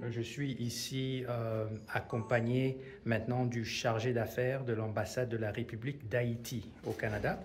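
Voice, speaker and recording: Amid audible room echo and noticeable background noise, a man speaks at a fairly slow pace. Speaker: video reporter touring exhibition. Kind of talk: casual interview. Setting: art exhibition in a museum. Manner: whispering.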